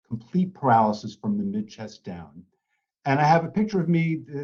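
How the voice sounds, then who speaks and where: At a fairly quick pace, a man with a dark, mellow tone and a somewhat breathy voice speaks with lively intonation. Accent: American. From US Northeast (New York City). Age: 60s. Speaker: patient advocate. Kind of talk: presentation.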